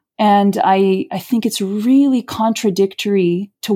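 The voice has a dark, mellow tone and fairly even intonation in a very clean recording with a silent background. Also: woman. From Brazil, Rio de Janeiro. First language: Portuguese. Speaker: theater artist and playwright. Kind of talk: casual interview.

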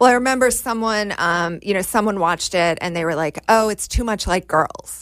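Using a plain, everyday voice with an American accent, a woman talks at a moderate pace and medium pitch, with ordinary pitch variation and hardly any pauses. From Washington, D.C. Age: 40s. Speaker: screenwriter and actor. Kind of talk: casual chat.

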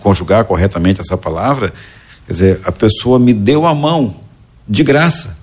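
A man talks at a moderate pace with lively intonation in an unremarkable speaking voice. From Goiás, central-western Brazil. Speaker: educator and entrepreneur. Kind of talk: podcast interview.

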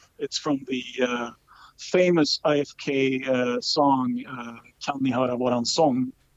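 This is a man speaking. He has a Swedish accent. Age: 30s. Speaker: football fan club chairman. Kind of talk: interview.

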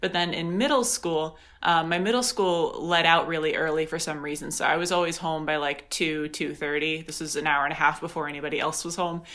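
A woman talks at a fairly quick pace with hardly any pauses. Her fairly low voice has a bright, sharp tone and ordinary pitch variation. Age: 20s. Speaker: PhD student. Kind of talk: interview. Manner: halting.

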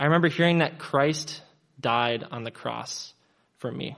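A man with a plain, everyday voice, a fairly quick pace and ordinary pitch variation. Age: 20s. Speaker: church member giving baptism testimony. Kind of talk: testimony.

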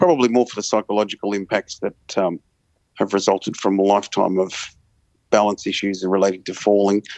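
A man with an Australian accent speaks at a fairly quick pace in a fairly low, monotone, flat voice. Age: 40s. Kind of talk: interview.

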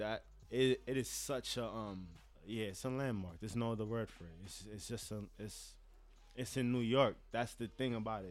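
Fairly even in intonation, a man talks at a moderate pace and medium pitch in an unremarkable speaking voice. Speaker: cinematographer and photographer. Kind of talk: casual podcast conversation. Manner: casual, slangy.

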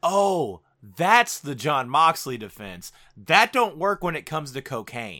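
At a fairly slow pace, a man with a fairly high pitch and a bright, sharp tone uses vocal fry, with very wide pitch swings and big swings in loudness, in a very clean recording with a silent background. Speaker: podcast co-host, wrestler. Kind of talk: casual banter, wrestling news roundup.

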